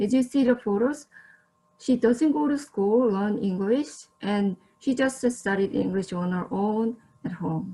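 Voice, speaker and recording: A woman's fairly high voice in a Korean accent, with lively intonation at a fairly slow pace. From South Korea. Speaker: social service student, guest presenter. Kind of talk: presentation. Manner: slightly halting with fillers.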